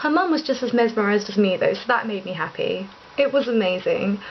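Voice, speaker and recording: A woman with a high pitch and an English accent, over noticeable background noise. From England. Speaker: vlogger. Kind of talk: casual monologue vlog. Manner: fast; animated.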